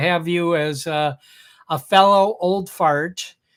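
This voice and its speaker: High-pitched for a man, this male voice keeps a fairly even intonation. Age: 70s. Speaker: talk show host. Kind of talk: casual chat.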